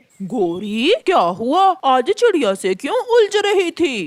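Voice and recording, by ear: Using a cartoonish character voice, the speaker talks very slowly at a high pitch with very wide pitch swings.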